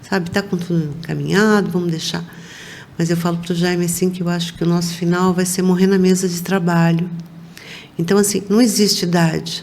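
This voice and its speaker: The speaker talks fairly quickly in a flat monotone. Noticeable background noise and audible room echo are present. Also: woman. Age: 60s. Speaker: business owner. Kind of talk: interview.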